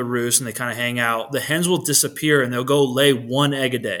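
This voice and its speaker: A man talks with a bright, sharp tone and medium pitch. His intonation is fairly even. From New Hampshire. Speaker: turkey hunter. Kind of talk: casual chat. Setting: video call.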